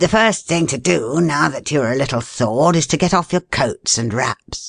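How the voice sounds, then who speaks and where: A raspy put-on character voice from a man at a fairly high pitch, moderate pace and lively intonation, dry and close with no echo. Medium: read story. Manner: hearty, commanding.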